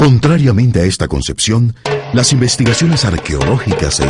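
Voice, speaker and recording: Music plays in the background as a man talks with a fairly low pitch. His pitch swings very widely. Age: middle-aged. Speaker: voice-over narrator. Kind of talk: documentary narration. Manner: formal.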